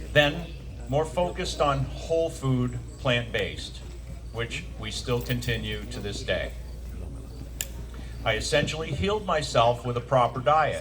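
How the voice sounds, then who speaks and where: A man with an American accent at a fairly slow pace, long, frequent pauses, audible room echo and noticeable background noise. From Maine, US. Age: 60s. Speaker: navy veteran and nutritionist speaker. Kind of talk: presentation to audience.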